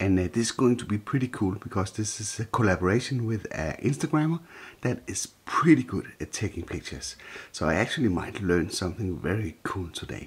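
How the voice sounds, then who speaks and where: A man's fairly low, somewhat breathy voice at a fairly quick pace, with lively intonation. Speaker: drone vlogger. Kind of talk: vlog narration. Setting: outdoors. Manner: hesitant, many fillers.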